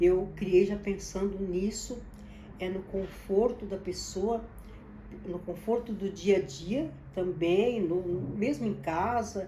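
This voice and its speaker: Ordinary pitch variation at a fairly slow pace, with noticeable background noise and audible room echo. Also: woman. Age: 70s. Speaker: business founder. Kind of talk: personal testimony and advice to camera. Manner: halting, with repetitions.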